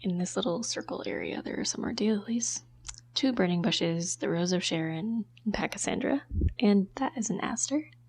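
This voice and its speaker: Speech from a woman, with noticeable background noise behind it. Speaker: amateur gardener. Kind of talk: garden tour narration. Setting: outdoors.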